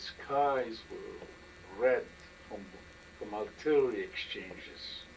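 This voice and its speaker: A man speaking at a very slow pace, long, frequent pauses and noticeable background noise throughout. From Poland. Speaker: Holocaust survivor. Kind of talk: oral history interview answer.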